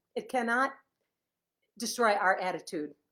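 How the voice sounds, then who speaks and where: In a Chicago accent, a woman sounds animated, her intonation lively. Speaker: author. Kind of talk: casual live stream chat. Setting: Facebook live video at home.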